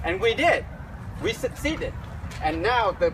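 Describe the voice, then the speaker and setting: There is noticeable noise in the background. A man talks with a Vietnamese accent. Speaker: Navy veteran and refugee. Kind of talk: talk to students at a memorial. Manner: halting.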